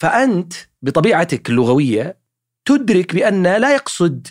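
Vocal fry runs through this man's voice, recorded dry and close with no echo. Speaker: podcast host, linguist. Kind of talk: casual educational monologue. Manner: spontaneous, conversational.

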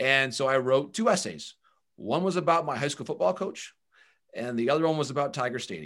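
The voice is plain, everyday, with an American accent. It moves at a fairly quick pace in a very clean recording with a silent background. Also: man, fairly high pitch for a man, ordinary pitch variation. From Michigan, Bay City area. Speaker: baseball broadcaster and journalist. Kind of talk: interview.

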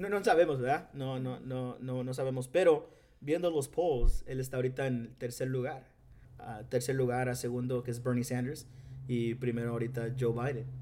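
It's a plain, everyday voice from a man of medium pitch. He keeps a moderate pace and fairly even intonation. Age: 20s. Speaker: community center coordinator. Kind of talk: group interview.

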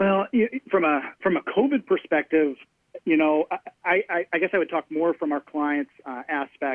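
A man with a normal speaking voice talks at a moderate pace, his fairly high pitch rising and falling in an ordinary way. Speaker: insurance business owner. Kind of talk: radio interview.

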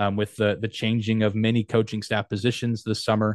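A man with an American accent and an ordinary speaking voice, fairly low in pitch, at a fairly quick pace, in a dry, close sound with no echo over a quiet background. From West Texas. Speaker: sports podcaster. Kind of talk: casual interview.

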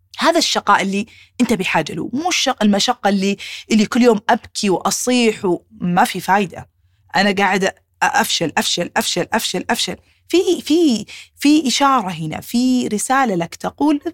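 With a very clean recording, a silent background and a dry, close sound free of echo, a woman with a fairly high pitch speaks at a moderate pace in an animated tone, her pitch swinging very widely. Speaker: podcast host, psychology doctor. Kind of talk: casual monologue.

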